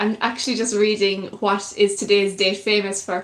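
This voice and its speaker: At a moderate pace, a woman talks with a North Kerry accent against noticeable background noise. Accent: North Kerry Irish. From Ireland, North Kerry. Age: 20s. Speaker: YouTuber, musician and broadcaster. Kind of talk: live stream chat with viewers. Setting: live stream.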